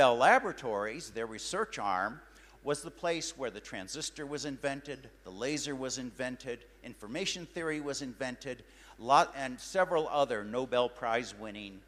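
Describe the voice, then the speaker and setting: A normal speaking voice with an American accent, lively intonation and big swings in loudness. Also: man. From United States. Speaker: scientist and science fair director. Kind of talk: motivational talk.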